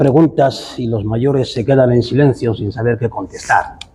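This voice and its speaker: Noticeable background noise is present. Over it, a man talks with fairly even intonation. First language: Bubi (speaking Spanish). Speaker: writer. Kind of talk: panel discussion.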